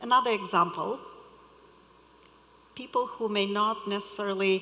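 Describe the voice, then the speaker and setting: With a non-native accent, a woman speaks at a medium pitch in a monotone, flat intonation. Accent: foreign. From Moldova. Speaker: conference panelist. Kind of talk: panel discussion.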